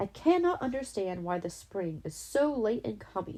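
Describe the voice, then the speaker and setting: In a gruff, put-on character voice, the speaker goes at a moderate pace. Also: woman, medium pitch for a woman. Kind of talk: bedtime story. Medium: read story.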